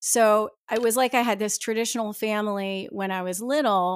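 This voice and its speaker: An ordinary speaking voice from a woman with an American accent, fairly high in pitch, at a moderate pace with ordinary pitch variation. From New Jersey, US. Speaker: author. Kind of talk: interview.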